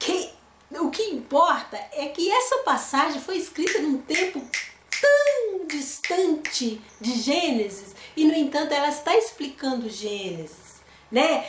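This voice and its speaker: A woman speaks very slowly at a high pitch with very wide pitch swings, amid noticeable background noise and audible room echo. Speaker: Bible teacher. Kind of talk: Bible study.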